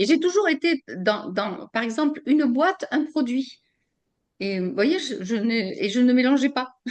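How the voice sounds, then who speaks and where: Pitch swings very widely as the words come at a fairly slow pace. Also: woman, high pitch for a woman. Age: 70s. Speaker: customer giving testimonial. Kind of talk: testimony interview. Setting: video call. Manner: halting, many repetitions and fillers.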